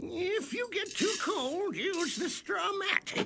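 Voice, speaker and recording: A put-on character voice at an extremely high pitch and a very slow pace, with clear background noise. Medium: short film. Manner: friendly.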